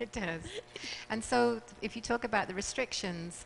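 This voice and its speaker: A woman speaks in a British accent at a moderate pace. Her pitch variation is ordinary, and there is noticeable background noise. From England. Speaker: fertility clinic doctor. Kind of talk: talk show interview.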